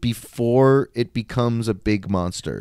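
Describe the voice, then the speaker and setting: A man speaks in a normal speaking voice with an American accent. His pitch sits at a medium level with ordinary variation. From rural Montana, US. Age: 30s. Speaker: podcast guest, martial artist raised in a pastor's family. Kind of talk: casual conversation. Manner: informal, filler-heavy with many likes.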